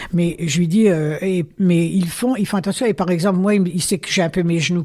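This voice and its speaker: Against noticeable background noise, a woman with a fairly low pitch talks at a moderate pace with ordinary pitch variation. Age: 80s+. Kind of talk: interview answer. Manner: lively, hesitant.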